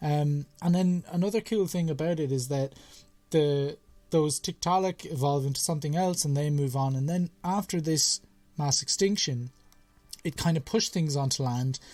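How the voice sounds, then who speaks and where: A man's fairly high voice in an Irish accent, at a moderate pace with ordinary pitch variation, over music in the background. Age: young. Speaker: science podcast host. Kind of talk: casual chat.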